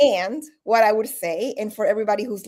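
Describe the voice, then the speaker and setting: With a normal speaking voice, the speaker moves at a moderate pace with lively intonation. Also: woman. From Colombia, Bogotá, moved to New Jersey at 13. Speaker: leadership coach. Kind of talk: interview. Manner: conversational, many fillers.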